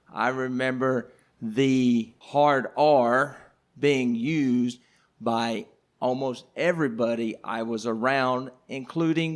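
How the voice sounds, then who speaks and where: With an Arkansas accent, a man talks at a medium pitch with ordinary pitch variation. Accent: Southern US (Arkansas). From Southeast Arkansas. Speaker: history teacher, podcast panelist. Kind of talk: casual panel discussion. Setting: live recording at a coffee house.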